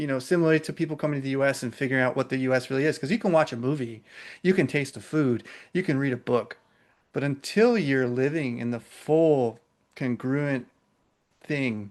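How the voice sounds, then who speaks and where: Against a quiet background, a man with an American accent and an unremarkable speaking voice talks at a fairly quick pace, with a fairly high pitch and ordinary pitch variation. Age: 30s. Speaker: podcast host. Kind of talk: casual chat.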